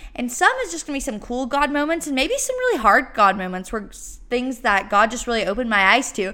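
A woman's high-pitched voice with a Texan accent, at a fairly quick pace. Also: lively intonation, hardly any pauses. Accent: Texan Southern US. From East Texas. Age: 19. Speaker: faith podcaster, college student. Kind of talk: casual faith talk monologue.

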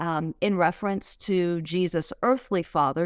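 In a very clean recording with a silent background, a woman with a fairly low pitch speaks at a fairly slow pace with ordinary pitch variation in a normal speaking voice. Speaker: podcast host. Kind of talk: conversational podcast discussion.

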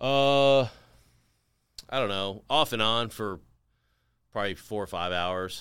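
With an American accent, a man speaks fairly slowly at a fairly low pitch, leaving long, frequent pauses. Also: ordinary pitch variation, very clean recording, silent background. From US South, Henry County, Tennessee. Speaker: retired Navy SEAL and actor. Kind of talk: casual interview. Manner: halting, frequent restarts.

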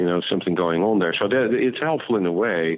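Here a man speaks at a fairly quick pace. His voice is very deep and low. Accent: Dutch. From Netherlands. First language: Dutch. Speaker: ophthalmologist and medtech founder. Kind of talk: interview. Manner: halting, with repeated words.

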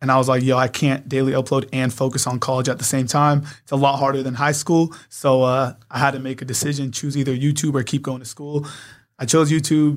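This man talks at a fairly quick pace with a medium pitch and an American accent. His intonation is monotone and flat, on a very clean recording with a silent background. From San Diego, California. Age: 20s. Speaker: youtuber. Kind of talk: casual chat.

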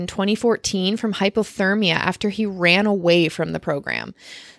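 At a fairly quick pace, a woman with an unremarkable speaking voice talks with fairly even intonation. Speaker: podcast co-host. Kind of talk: casual chat. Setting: home, at her dad's place.

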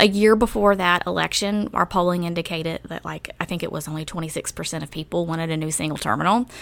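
The speech rushes at a very fast pace with hardly any pauses and ordinary pitch variation. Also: woman, fairly low pitch for a woman. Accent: slight Southern US. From rural North Carolina, US South. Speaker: former city government chief of staff. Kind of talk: interview.

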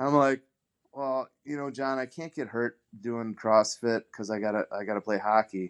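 A man with an ordinary speaking voice and an American accent, medium pitch, fairly even intonation and a fairly slow pace, recorded dry and close with no echo. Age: 40s. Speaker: retired pro hockey player, CrossFit masters athlete. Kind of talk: casual interview.

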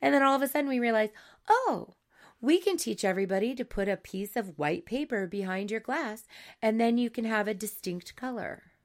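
A woman with a plain, everyday voice, fairly high pitch, fairly quick pace and lively intonation, on a very clean recording with a silent background. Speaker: yoga teacher and podcast co-host. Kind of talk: casual chat.

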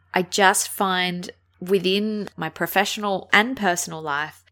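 Recorded very cleanly against a silent background, a woman with an Australian accent speaks in a fairly low voice with a bright, sharp tone. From Australia, Adelaide. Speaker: podcast host, aged care worker. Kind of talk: solo podcast monologue.

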